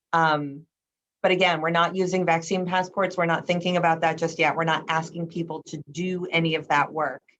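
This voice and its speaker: At a fairly quick pace, a woman speaks with monotone, flat intonation and a fairly low pitch. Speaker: museum administrator. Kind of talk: panel presentation on a video call. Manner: fast.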